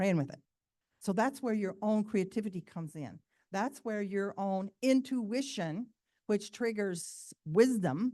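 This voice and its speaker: Her voice is dark and mellow in tone, with lively intonation and a medium pitch for a woman. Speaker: spiritual teacher. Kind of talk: conference presentation.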